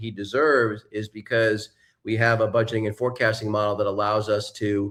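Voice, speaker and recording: A man talks at a fairly quick pace in a normal speaking voice with a medium pitch. The recording is very clean, with a silent background. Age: 60s. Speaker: serial entrepreneur and investor. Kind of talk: interview conversation.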